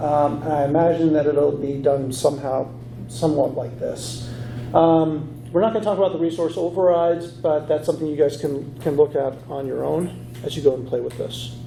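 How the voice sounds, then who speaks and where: Recorded with audible room echo and noticeable background noise, a man speaks at a fairly high pitch with ordinary pitch variation. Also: moderate pace. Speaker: conference speaker. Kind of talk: lecture. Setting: stage with audience. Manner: halting.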